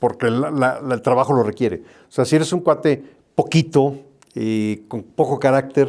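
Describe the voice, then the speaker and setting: Medium-pitched male speech at a moderate pace, with a Mexican accent. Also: ordinary pitch variation. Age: 60s. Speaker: airline pilot. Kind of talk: interview. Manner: hesitant, with fillers.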